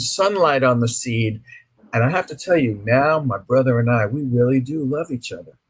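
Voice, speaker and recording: A man's somewhat breathy, medium-pitched voice with an American accent, at a moderate pace. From New York (Brooklyn). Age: 60s. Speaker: author. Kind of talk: interview.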